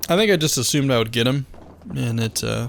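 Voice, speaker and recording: A relaxed man's voice at a medium pitch. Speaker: gaming commentator. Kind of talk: gameplay commentary. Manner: monotone; casual, relaxed.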